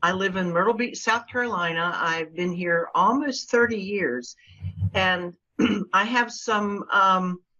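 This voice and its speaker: A woman speaks at a fairly slow pace in a normal speaking voice. Her pitch is medium and rises and falls in an ordinary way. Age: 60s. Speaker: local marketing agency owner. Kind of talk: interview.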